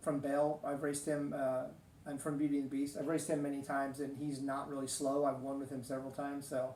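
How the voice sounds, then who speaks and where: Fairly quick speech from a man, audible room echo around it. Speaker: gaming video host. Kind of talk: casual gameplay commentary. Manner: loud; hesitant, many fillers.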